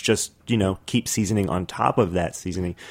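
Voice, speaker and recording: With music in the background, a man talks with an American accent. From New York City (Brooklyn). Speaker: food writer and chef. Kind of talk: casual chat. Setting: studio.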